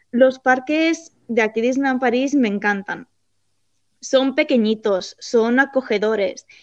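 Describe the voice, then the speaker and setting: A high-pitched woman in a Spanish accent, speaking at a very slow pace with ordinary pitch variation. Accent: Spanish (Spain). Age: 20s. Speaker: theme park employee. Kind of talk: interview.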